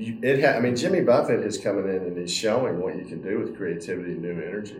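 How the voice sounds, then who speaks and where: A man talks at a fairly quick pace in a fairly low pitch with ordinary pitch variation. Noticeable background noise sits behind him. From Texas, Dallas. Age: 60s. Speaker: senior living company CEO. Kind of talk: interview.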